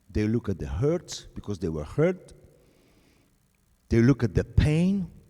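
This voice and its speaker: Speaking fairly slowly with a Polish accent, a man uses a dark, mellow tone and very wide pitch swings. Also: medium pitch for a man. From Poland. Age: 60s. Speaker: pastor. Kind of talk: sermon.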